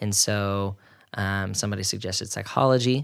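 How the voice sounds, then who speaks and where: A man with an American accent speaks in an ordinary speaking voice, fairly low in pitch, at a fairly quick pace. His intonation is fairly even, and the recording is very clean, with a silent background. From Oklahoma. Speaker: marriage and family therapist. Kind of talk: casual interview.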